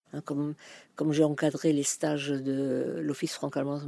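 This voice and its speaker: A dark, mellow tone with fairly even intonation, dry and close without echo. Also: woman, very clean recording, silent background. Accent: German. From Germany. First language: German (speaking French). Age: 70s. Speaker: retired language teacher. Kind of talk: interview. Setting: outdoors in garden.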